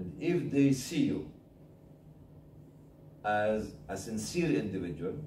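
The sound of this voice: In an Egyptian accent, the speaker's dark, mellow tone makes big pitch swings, with audible room echo. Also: man.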